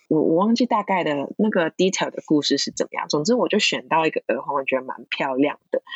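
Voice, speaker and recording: With a Cantonese accent, a woman talks at a fairly quick pace with hardly any pauses. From Hong Kong. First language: Cantonese (speaking Chinese). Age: 20s. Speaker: counseling psychology graduate. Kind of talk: casual interview.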